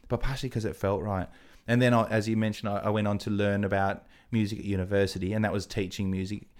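A man's very fast, fairly low voice with an Australian accent and fairly even intonation, in a very clean recording with a silent background. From Australia (Adelaide). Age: 30s. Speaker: TV and radio presenter. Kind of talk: casual chat.

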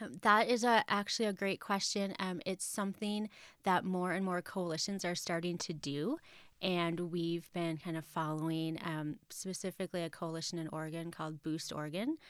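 The recording is very clean, with a silent background. A woman with a fairly low voice speaks at a moderate pace with ordinary pitch variation. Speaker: nonprofit executive director. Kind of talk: interview. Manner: hesitant, filler-heavy.

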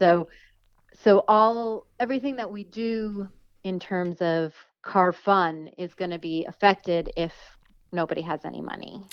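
A woman's normal speaking voice at a medium pitch, with ordinary pitch variation, a fairly slow pace and big swings in loudness. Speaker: freelance automotive journalist. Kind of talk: casual interview chat.

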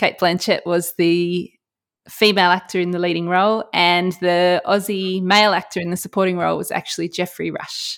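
The speaker has an Australian accent and a monotone, flat intonation. The pace is moderate. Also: woman, fairly low pitch for a woman. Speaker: trivia quizmaster. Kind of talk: game show quizzing. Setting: remote call.

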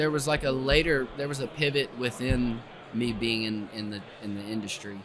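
With noticeable background noise behind him, a man with an Appalachian accent speaks at a moderate pace with ordinary pitch variation. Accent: Southern US (Appalachian). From East Tennessee, US South. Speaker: arborist. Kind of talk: casual interview. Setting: tree industry festival.

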